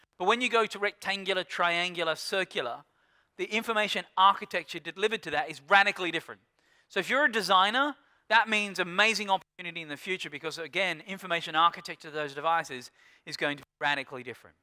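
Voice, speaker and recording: An animated man with an Australian accent talks at a very fast pace and a high pitch, in a bright, sharp tone. His loudness swings widely on a very clean recording with a silent background. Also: ordinary pitch variation, dry, close sound with no echo. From rural Australia. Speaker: keynote speaker on digital media. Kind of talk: conference keynote talk. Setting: stage with audience.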